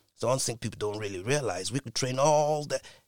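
A somewhat breathy man speaks at a fairly quick pace with lively intonation. The recording is very clean, with a silent background and a dry, close sound with no echo. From Britain. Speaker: scientist. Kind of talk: interview.

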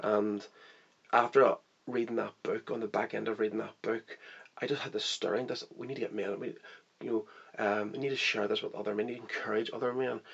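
Speaking at a fairly quick pace, a man talks with a Northern Irish accent. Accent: Northern Irish (Belfast). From Northern Ireland, Belfast. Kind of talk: interview testimony. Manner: hesitant, many fillers.

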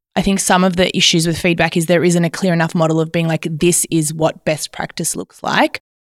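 A woman with an Australian accent, fairly low pitch and a fairly quick pace, in a dry, close sound with no echo. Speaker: teacher. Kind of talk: panel discussion.

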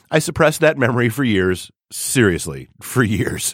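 On a very clean recording with a silent background, a man of medium pitch swings very widely in pitch, with vocal fry in his voice. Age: 40s. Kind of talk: personal essay read aloud.

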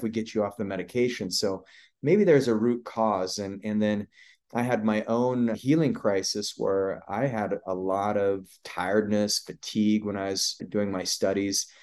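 A man has a normal speaking voice with a fairly low pitch and ordinary pitch variation. He goes at a moderate pace against a quiet background. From Idaho, US. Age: 40s. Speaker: acupuncturist and clinic founder. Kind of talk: interview.

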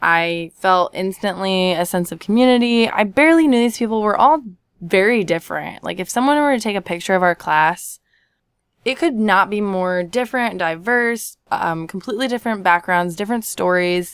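This woman has a plain, everyday voice at medium pitch, with lively intonation. She talks at a moderate pace on a very clean recording with a silent background. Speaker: improv classmate. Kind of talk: casual interview.

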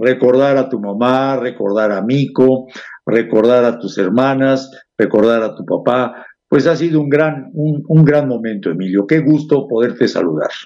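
The voice has a dark, mellow tone and ordinary pitch variation, moving at a fairly slow pace. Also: man, medium pitch for a man. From Mexico, Puebla city. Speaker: radio host. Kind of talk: interview. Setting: studio.

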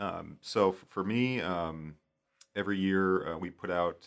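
This man speaks with a very deep, low pitch. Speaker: aviation safety researcher. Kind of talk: casual interview. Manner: hesitant, many fillers.

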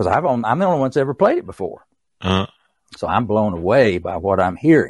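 In an East Tennessee accent, a man talks at a fairly quick pace and a medium pitch, with very wide pitch swings. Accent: East Tennessee Southern US. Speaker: author and songwriter. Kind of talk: casual interview, storytelling.

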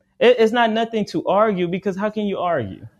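A man with an American accent, high in pitch, at a moderate pace with ordinary pitch variation. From Arizona, US. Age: 30s. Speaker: spiritual teacher. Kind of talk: interview.

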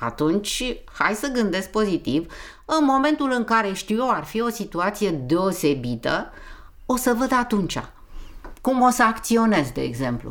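With vocal fry and very wide pitch swings, a woman talks at a fairly slow pace. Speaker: interviewee. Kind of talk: casual chat.

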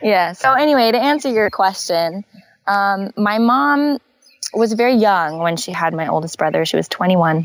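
In a very clean recording with a silent background, a woman with a West Coast accent speaks with lively intonation. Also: medium pitch for a woman, moderate pace. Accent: American West Coast. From Northern California and Hawaii. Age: 20s. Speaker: glass artist. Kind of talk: interview conversation.

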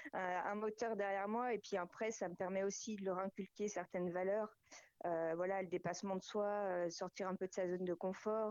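Dry and close with no echo, a woman with a normal speaking voice talks at a moderate pace and medium pitch. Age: 40s. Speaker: amateur raid participant. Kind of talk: radio interview.

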